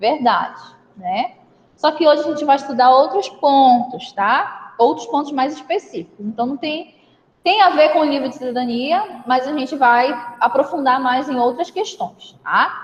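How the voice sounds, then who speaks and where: Her intonation is lively and her pitch high. The woman speaks at a fairly slow pace. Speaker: schoolteacher. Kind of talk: online class lesson.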